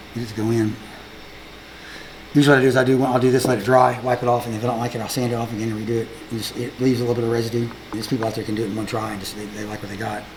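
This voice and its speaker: Over noticeable background noise and audible room echo, a man at medium pitch talks at a very fast pace in a monotone, flat way. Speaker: woodworking artist. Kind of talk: casual chat.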